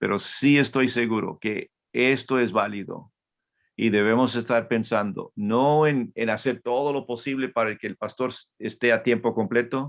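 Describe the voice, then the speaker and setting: A man talks fairly slowly with a medium pitch, his intonation fairly even. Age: 60s. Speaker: Bible institute teacher, missionary. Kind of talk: lecture. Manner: halting, frequent repetitions.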